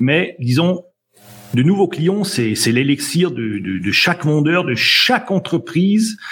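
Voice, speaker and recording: A man speaks at a high pitch with very wide pitch swings. His pace is very slow. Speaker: sales trainer. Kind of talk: casual interview. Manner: hesitant, repeats words.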